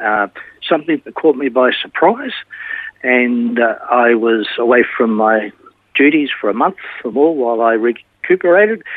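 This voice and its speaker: A man's medium-pitched voice in an Australian accent, with ordinary pitch variation and a moderate pace. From Australia, Melbourne. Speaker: retired teacher. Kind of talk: interview testimony. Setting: remote from home.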